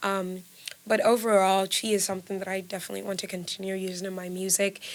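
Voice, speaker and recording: Speaking very fast with a Ghanaian accent, the woman keeps a medium pitch and a monotone, flat intonation. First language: Twi. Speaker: musician. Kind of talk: interview. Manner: halting, many fillers.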